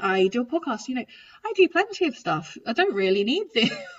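The speaker is a woman, somewhat breathy. She talks at a moderate pace. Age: 30s. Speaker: trombonist and podcast host. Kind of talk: casual interview chat.

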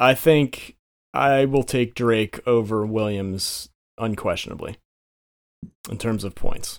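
Over a silent background in a very clean recording, a man speaks at a medium pitch and a very slow pace, with fairly even intonation and long, frequent pauses. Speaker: fantasy football league commissioner. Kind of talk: casual chat.

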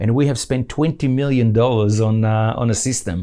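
Male speech with a dark, mellow tone at a fairly quick pace, ordinary pitch variation, on a very clean recording with a silent background. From Israel (Nahariya), moved to Australia as teen. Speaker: e-commerce entrepreneur. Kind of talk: interview. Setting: studio.

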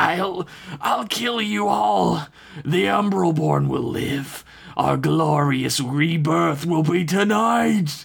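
Shouting in a put-on character voice, a man uses a raspy, fairly high pitch and a very slow pace. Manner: screaming, unhinged.

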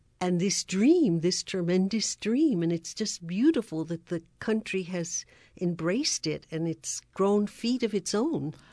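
In a quiet background, a woman speaks at a fairly slow pace with lively intonation and a dark, mellow tone. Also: medium pitch for a woman. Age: 80s+. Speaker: radio host. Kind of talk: interview.

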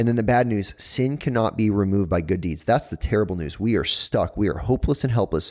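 A man's very fast talk with lively intonation and hardly any pauses, on a very clean recording with a silent background. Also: fairly low pitch for a man. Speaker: co-host, church teacher. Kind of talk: casual chat on faith.

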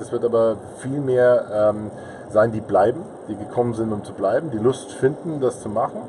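Against noticeable background noise, a man talks fairly quickly at a medium pitch. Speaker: podcaster and marketing consultant. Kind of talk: casual interview. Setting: recording in a parked car at a trade fair.

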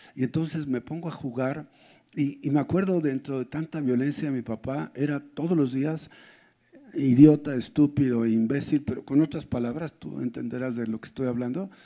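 Fairly even in intonation, a man's voice has a dark, mellow tone, a fairly high pitch and a moderate pace. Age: 60s. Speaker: pastor. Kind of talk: sermon.

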